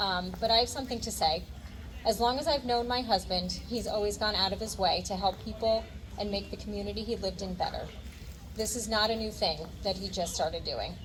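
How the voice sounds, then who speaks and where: The recording has audible room echo and noticeable background noise. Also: woman, fairly quick pace. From New Jersey (Ocean County). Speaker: candidate's wife. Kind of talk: prepared speech at rally.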